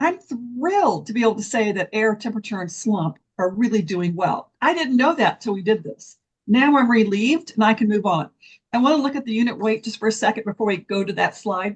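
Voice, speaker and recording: Speaking at a fairly quick pace, a woman with a fairly high pitch and lively intonation sounds somewhat breathy. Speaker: concrete testing program presenter. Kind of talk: technical presentation. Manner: fast.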